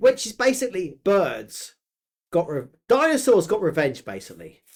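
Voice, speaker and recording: In a very clean recording with a silent background, a man with a slight northern English accent talks at a moderate pace in a high pitch, with very wide pitch swings and big swings in loudness. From England, Yorkshire/Suffolk family. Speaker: podcast co-host, creator. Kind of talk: casual chat. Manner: animated.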